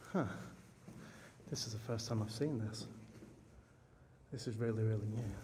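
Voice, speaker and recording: Quiet and somewhat breathy, a man with a medium pitch and a dark, mellow tone speaks at a moderate pace with fairly even intonation and long, frequent pauses, amid audible room echo. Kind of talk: video diary. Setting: outdoors in a cemetery at night. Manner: speaking quietly; hesitant, many fillers.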